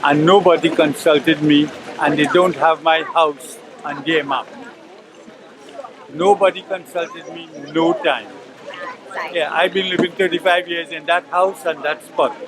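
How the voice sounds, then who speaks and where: Fairly slow speech with long, frequent pauses and fairly even intonation over noticeable background noise. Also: man, high pitch for a man. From Trinidad, Penal area. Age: 70s. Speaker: affected resident. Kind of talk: interview statement.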